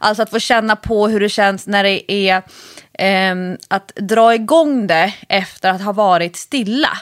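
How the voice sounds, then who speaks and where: A woman's medium-pitched voice, fairly slow in pace, with ordinary pitch variation and very even loudness. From Stockholm area (Nacka). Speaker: podcast co-host, fitness coach. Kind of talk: casual chat.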